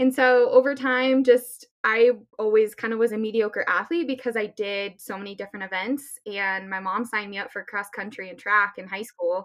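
Speaking with an American accent, a woman with an unremarkable speaking voice keeps a moderate pace with hardly any pauses, a fairly high pitch, ordinary pitch variation and big swings in loudness. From Colorado, US. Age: 20s. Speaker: Olympic athlete. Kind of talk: interview.

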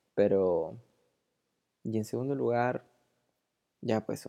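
A woman's very deep, low voice in a Peruvian accent, dark and mellow in tone, on a very clean recording with a silent background. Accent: Peruvian Spanish (Lima). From Peru, Lima. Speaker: podcast host. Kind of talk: casual monologue.

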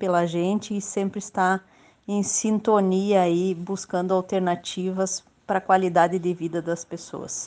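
Delivered at a fairly slow pace, a plain, everyday voice keeps its intonation fairly even. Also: woman. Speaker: local politician. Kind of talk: radio interview.

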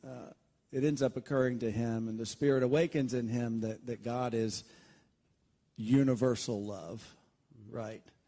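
A man with a Southern US accent, medium pitch, a dark and mellow tone and ordinary pitch variation, at a moderate pace with long, frequent pauses. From Alabama. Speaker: pastor. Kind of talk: interview. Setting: church.

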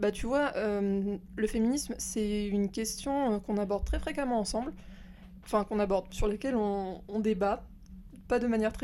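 A normal speaking voice, fairly slow, with fairly even intonation. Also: woman. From rural France. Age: 20s. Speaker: host's cousin. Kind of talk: casual chat. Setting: at her home.

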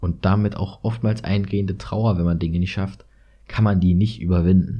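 A man with a very deep, low pitch speaks at a moderate pace in a dark, mellow, somewhat breathy tone, with ordinary pitch variation. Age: 20s. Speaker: university student and podcaster. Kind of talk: solo monologue podcast.

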